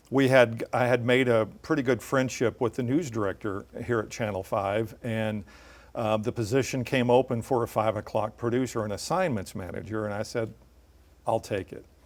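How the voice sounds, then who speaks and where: A man with a Midwestern US accent talks at a medium pitch and a moderate pace, with ordinary pitch variation. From central Illinois. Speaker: TV news anchor. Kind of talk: interview.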